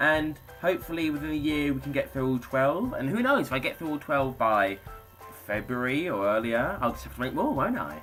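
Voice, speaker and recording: With a British accent, a man speaks at a fairly quick pace in an upbeat tone while music plays in the background. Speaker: YouTuber. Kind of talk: casual talk to camera.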